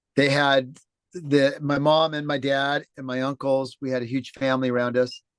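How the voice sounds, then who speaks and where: In front of a quiet background, a man speaks with flat, monotone intonation. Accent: American. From Los Angeles, California. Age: 60s. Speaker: former home builder turned sailing charter skipper. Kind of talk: interview, telling his life story. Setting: video call from a boat at sea.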